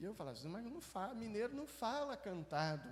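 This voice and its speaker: Audible room echo colors the recording. Delivery proceeds at a moderate pace. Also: man. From Belo Horizonte, Minas Gerais, Brazil. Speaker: pastor. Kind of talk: sermon. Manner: conversational, with false starts.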